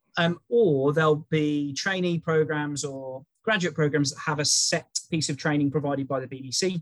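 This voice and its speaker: A man with an English Midlands accent talks at a moderate pace with hardly any pauses. His fairly high voice keeps a fairly even intonation. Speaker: early careers recruitment specialist. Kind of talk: interview conversation.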